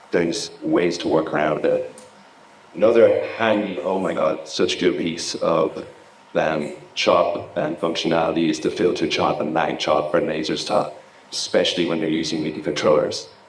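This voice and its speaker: Audible room echo surrounds a man with an Irish accent. His pace is moderate. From Ireland. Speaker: laser and visuals technician, conference speaker. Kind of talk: conference talk. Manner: casual, animated.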